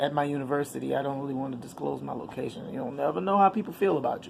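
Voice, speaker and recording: A woman's animated tone carries over noticeable noise in the background. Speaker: vlogger and actress. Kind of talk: casual vlog chat. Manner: loud.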